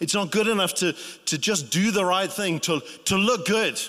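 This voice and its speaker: Against a silent background in a very clean recording, a man talks with a high pitch, a bright, sharp tone and lively intonation. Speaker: preacher. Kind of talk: sermon. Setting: church. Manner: informal, humorous, laughs while preaching.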